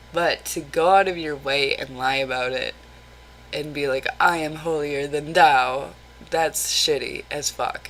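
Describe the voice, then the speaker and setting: A woman's very deep, low voice is heard with noticeable background noise around it. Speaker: vlogger. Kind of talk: casual vlog monologue. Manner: animated.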